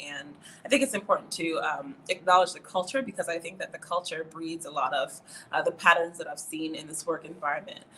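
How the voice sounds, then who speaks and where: A woman speaks with an American accent at a fairly quick pace. Hers is an unremarkable speaking voice. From New York. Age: 20s. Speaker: student affairs administrator. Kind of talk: podcast interview.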